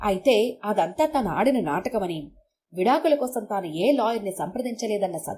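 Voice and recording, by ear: The reading is done aloud in a natural voice. Nothing stirs in the background.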